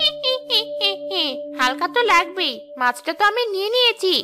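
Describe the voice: A woman does a cackling, cartoonish character voice at an extremely high pitch, bright and sharp in tone. She goes sing-song with big pitch swings at a fairly quick pace as faint music plays in the background.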